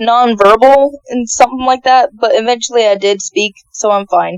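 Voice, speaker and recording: A woman speaks at a moderate pace in a high pitch. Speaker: youtuber podcast guest. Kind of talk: casual podcast conversation.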